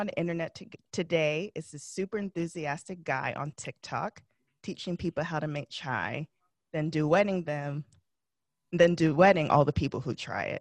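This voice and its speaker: With a quiet background and a dry, close sound with no echo, a woman with an ordinary speaking voice talks at a moderate pace and fairly low pitch, with ordinary pitch variation. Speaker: podcast host. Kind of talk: interview host.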